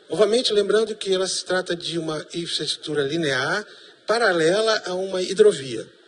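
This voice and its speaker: Noticeable background noise sits behind a man with a high voice who speaks at a moderate pace with ordinary pitch variation. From Brazil, Manaus (Amazonas). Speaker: professor. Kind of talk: TV panel debate.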